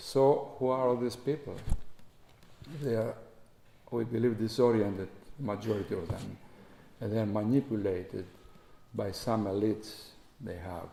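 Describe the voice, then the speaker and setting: At a moderate pace and medium pitch, a man with a dark, mellow tone talks with ordinary pitch variation and long, frequent pauses. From Greece. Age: 60s. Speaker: diplomat. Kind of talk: Q&A at public talk. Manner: halting, many fillers.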